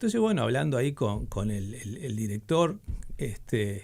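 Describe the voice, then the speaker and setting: Here a man is speaking. He talks in a Uruguayan accent. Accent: Uruguayan Spanish (Rioplatense). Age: 60s. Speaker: typographer and letterpress printer. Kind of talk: radio interview. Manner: halting, many fillers and restarts.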